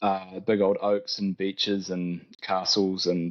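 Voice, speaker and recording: The voice carries a New Zealand accent with monotone, flat intonation. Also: man. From New Zealand, Tauranga. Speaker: arborist, tree care business owner. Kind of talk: casual interview chat.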